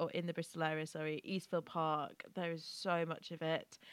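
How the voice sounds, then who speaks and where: In an English accent, a woman speaks in a fairly low, bright and sharp voice with monotone, flat intonation. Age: 20s. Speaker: podcast co-host. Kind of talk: casual chat.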